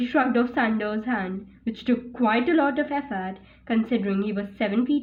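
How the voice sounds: This is a natural reading voice. It is heard on its own.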